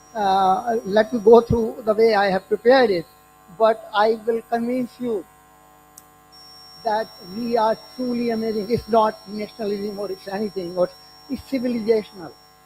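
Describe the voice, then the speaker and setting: Music plays in the background as the speech moves at a moderate pace. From India. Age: 60s. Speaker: retired nuclear engineer and conference speaker. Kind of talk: conference talk. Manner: halting.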